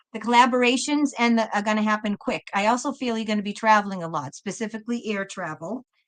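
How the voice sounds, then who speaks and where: Her pitch fairly high, a woman talks with a Boston accent. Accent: Boston accent, noticeable but moderated. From Massachusetts, Boston area. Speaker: tarot reader, live stream host. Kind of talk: live tarot reading stream. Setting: live stream. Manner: repetitive, warm and effusive.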